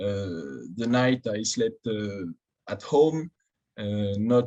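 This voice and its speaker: This man has a French accent. He speaks at a very slow pace. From southern France, Tarbes. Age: 20s. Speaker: fencer. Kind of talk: interview. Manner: halting.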